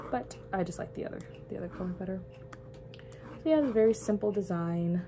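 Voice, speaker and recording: Over noticeable background noise, a woman with a fairly low pitch speaks at a very fast pace, with lively intonation and big swings in loudness. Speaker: church creative director and youth leader vlogger. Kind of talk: casual vlog talk with mini tutorial. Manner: casual, chatty.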